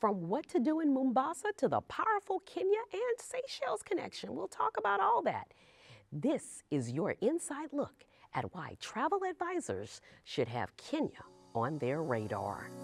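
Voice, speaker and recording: A woman speaks with a Louisiana accent. The sound is dry and close, with no echo. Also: moderate pace. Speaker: travel show host. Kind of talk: interview. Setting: cruise industry trade event.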